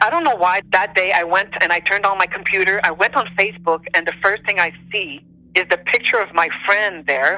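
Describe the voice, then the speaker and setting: In a Quebec accent, a woman speaks at a fairly quick pace in a medium pitch with ordinary pitch variation and very even loudness. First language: French. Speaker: interviewee sharing paranormal experiences. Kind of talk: personal testimony in interview.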